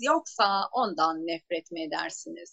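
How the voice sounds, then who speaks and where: A woman's voice with very wide pitch swings, dry and close with no echo. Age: 40s. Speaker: energy work trainer. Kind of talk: interview.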